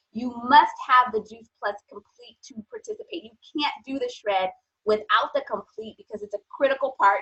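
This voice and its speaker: A woman with a normal speaking voice, ordinary pitch variation and a fairly quick pace. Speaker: nutrition strategist. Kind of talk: sales pitch.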